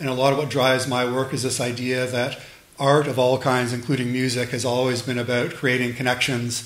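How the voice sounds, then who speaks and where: Speaking at a fairly quick pace in a monotone, flat intonation, a man with a medium pitch for a man is heard with audible room echo and noticeable background noise. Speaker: lecturer and sound artist. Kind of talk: lecture. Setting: lecture hall with audience. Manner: fast.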